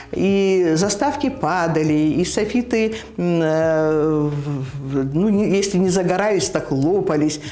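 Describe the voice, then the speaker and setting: This woman's voice sits fairly low in pitch. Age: 70s. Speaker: TV announcer. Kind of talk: interview answer. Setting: studio.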